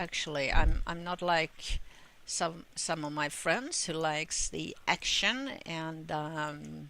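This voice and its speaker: A woman with a Swedish accent speaks at a very slow pace, her fairly low voice carrying a bright, sharp tone and ordinary pitch variation. The recording is very clean, with a silent background. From Sweden. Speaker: gamer. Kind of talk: gameplay commentary. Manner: halting, many fillers.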